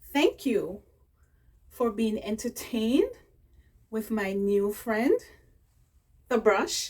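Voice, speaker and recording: Speaking at a very slow pace with long, frequent pauses, a woman uses a somewhat breathy, fairly high voice and lively intonation. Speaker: beauty vlogger. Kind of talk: unboxing tutorial.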